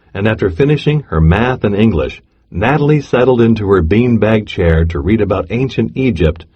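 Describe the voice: Plain reading aloud comes with lively intonation.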